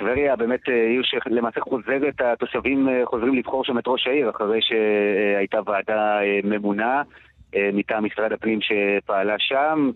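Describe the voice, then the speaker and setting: With an unremarkable speaking voice, a man talks at a medium pitch and a fairly slow pace, keeping his intonation fairly even. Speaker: radio news correspondent. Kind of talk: live news report. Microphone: choppy line.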